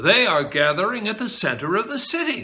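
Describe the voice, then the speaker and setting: Putting on a character voice, a man speaks in a raised, projected voice at a fairly quick pace, high in pitch with very wide pitch swings. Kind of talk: bedtime story. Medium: read story. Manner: friendly, assured.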